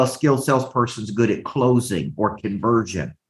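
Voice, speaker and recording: A man talks at a fairly quick pace in a Southern US accent. His voice is somewhat breathy, with lively intonation. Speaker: business coach. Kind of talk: motivational coaching talk. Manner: animated, motivational.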